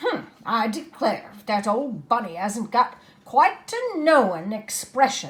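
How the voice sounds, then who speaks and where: A woman puts on a character voice, fairly high-pitched and rumbling, with very wide pitch swings at a fairly slow pace. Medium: read story. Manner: brisk, grumbling.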